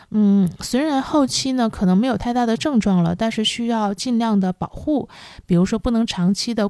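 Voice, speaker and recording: A woman speaks at a moderate pace with a dark, mellow tone and a fairly high pitch, captured in a very clean recording with a silent background. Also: hardly any pauses, very even loudness. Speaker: podcast host. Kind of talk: solo podcast talk on wellbeing. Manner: calm, with frequent fillers.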